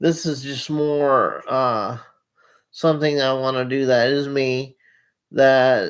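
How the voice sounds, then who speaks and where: A man talks at a medium pitch with fairly even intonation. The recording is very clean, with a silent background. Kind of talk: casual monologue to camera. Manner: slow; halting, many repetitions and fillers.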